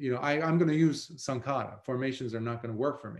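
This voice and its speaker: The speaker is a man at medium pitch. His intonation is lively. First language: not English. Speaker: Buddhist monk teacher. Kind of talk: dharma talk. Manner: halting with fillers.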